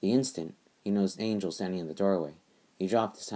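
Pitch varies in an ordinary way. The speaker uses a natural reading voice.

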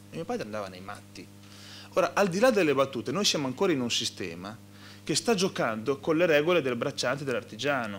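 The man talks at a very fast pace, his pitch swinging very widely and his loudness rising and falling a lot. Light background noise sits behind him. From Modena, Emilia-Romagna; Emilia-Romagna. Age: 30s. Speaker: regional politician. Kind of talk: panel discussion. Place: meeting room. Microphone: podium.

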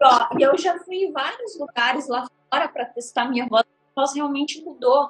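Her pitch is high. This woman's delivery has lively intonation. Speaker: psychic livestreamer. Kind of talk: livestream chat. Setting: livestream.

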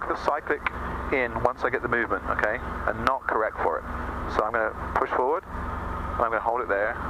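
Noticeable background noise behind a male speaker. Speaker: flight instructor. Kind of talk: instructional commentary. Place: plane. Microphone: headset.

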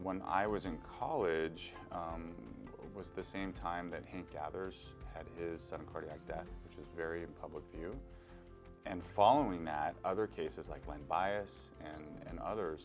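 With clear music in the background, a man with a very deep, low pitch talks at a moderate pace, taking long, frequent pauses, his loudness swinging widely and his pitch varying in an ordinary way. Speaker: guest. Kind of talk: interview answer. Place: studio. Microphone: lapel.

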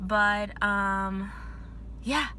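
A woman's voice comes through dry with no echo, over light background noise. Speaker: student vlogger. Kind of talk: casual vlog chat. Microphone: phone near.

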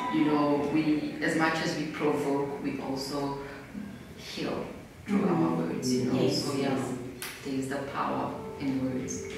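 A woman with a very deep, low pitch speaks at a fairly slow pace with ordinary pitch variation. Strong room echo and noticeable background noise fill the recording. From Eswatini. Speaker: poet and storyteller. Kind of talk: interview answer. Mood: warm, reflective. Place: hall.

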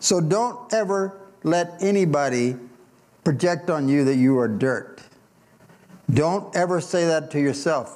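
Speaking slowly with long, frequent pauses, a man with an American accent uses lively intonation at a fairly high pitch. His loudness is very even, and there is audible room echo. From US Midwest (Indiana). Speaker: pastor. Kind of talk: sermon. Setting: church.

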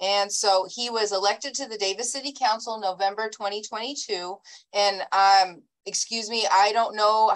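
A woman talks at a moderate pace with fairly even intonation. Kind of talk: reading a bio statement in a meeting. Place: home room. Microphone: video call.

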